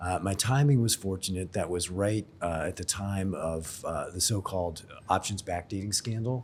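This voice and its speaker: A somewhat breathy man with an American accent, his pitch very deep and low with ordinary variation. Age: 60s. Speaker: insurance expert and blogger. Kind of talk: podcast interview. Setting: in person in Sydney.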